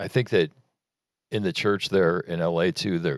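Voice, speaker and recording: Very deep and low in pitch, a man speaks at a moderate pace with ordinary pitch variation, in a very clean recording with a silent background and a dry, close sound with no echo. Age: 60s. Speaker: minister. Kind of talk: casual chat.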